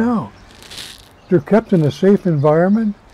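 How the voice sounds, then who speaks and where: Over noticeable background noise, a man with a high pitch speaks very slowly and with lively intonation, the sound dry and close with no echo. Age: 80s+. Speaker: retired prison warden. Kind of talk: interview answer.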